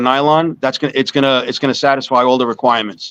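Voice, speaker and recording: Speaking very fast in a New York accent, a man keeps a medium pitch and fairly even intonation. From US Northeast (Long Island, New York). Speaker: small business owner selling smoking pipes. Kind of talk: casual interview.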